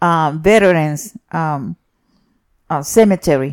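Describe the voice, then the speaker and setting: A woman with a fairly low pitch is heard in a dry, close sound with no echo. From Puerto Rico. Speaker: retired schoolteacher. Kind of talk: interview answer.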